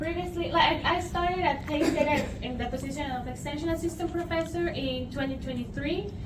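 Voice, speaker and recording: Hardly any pauses, ordinary pitch variation, audible room echo and noticeable background noise. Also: woman, high pitch for a woman. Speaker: nutrition professor. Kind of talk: lecture. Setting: room with audience, using a mic.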